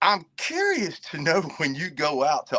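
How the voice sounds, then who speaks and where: Recorded with a dry, close sound and no echo, a man speaks with an American accent. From Virginia. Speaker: reseller and army veteran. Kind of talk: casual chat.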